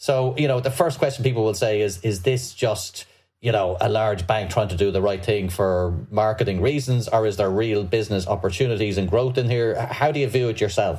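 A man with an Irish accent speaks at a fairly quick pace with hardly any pauses. His voice is fairly low and somewhat breathy, with ordinary pitch variation. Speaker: podcast host, financial journalist. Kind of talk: interview. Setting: remote video call.

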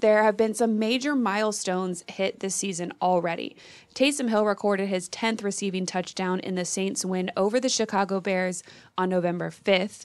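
Against a quiet background, a woman with an ordinary speaking voice talks at a moderate pace, medium in pitch with fairly even intonation. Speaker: sports podcast host. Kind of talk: scripted narration.

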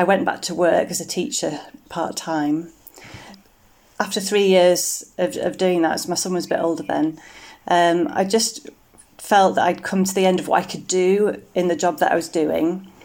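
At a moderate pace, a woman with an ordinary speaking voice talks at a medium pitch with ordinary pitch variation. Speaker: women's church minister. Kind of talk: interview, casual chat.

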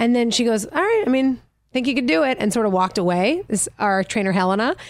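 A woman talks with a normal speaking voice at a fairly high pitch. Her pace is fairly quick. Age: 30s. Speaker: actor and stand-up comedian. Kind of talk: casual interview chat.

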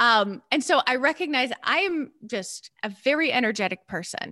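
A woman speaks in a high voice with an American accent. Her tone is bright and sharp, and her pitch swings very widely. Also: dry, close sound with no echo. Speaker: therapist and business coach. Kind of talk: interview.

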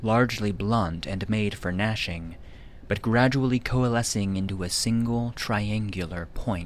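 The speaker has a natural reading voice. Pitch varies in an ordinary way.

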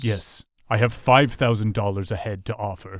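A man's put-on character voice, fairly low in pitch, with fairly even intonation and a moderate pace, on a very clean recording with a silent background.

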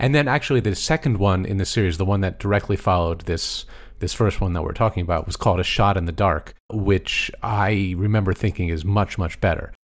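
With an American accent and an ordinary speaking voice, a man talks at a fairly quick pace with a fairly low pitch and hardly any pauses, in a very clean recording with a silent background. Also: ordinary pitch variation. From United States. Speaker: film score podcast co-host. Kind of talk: casual chat.

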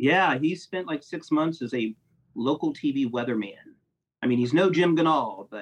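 A man with a Midwestern American accent, moderate pace and lively intonation. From US Midwest, Ohio (Columbus, Grove City). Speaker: film critic and video editor. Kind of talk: casual interview chat.

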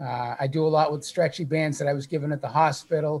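A man speaks with fairly even intonation at a fairly high pitch. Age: 60s. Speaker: cancer survivor and author. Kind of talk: testimony.

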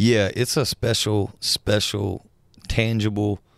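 A man with a Southern US accent is captured on a very clean recording with a silent background and a dry, close sound with no echo. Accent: Southern US (Georgia). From US South, South Georgia. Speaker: country musician. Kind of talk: casual interview chat. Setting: studio.

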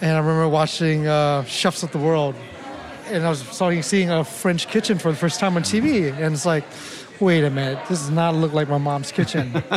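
Over crowd noise in the background and with audible room echo, a man speaks at a fairly high pitch with ordinary pitch variation. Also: moderate pace. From Thailand, Lao family, raised in Oakland. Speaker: chef and restaurant owner. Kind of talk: interview.

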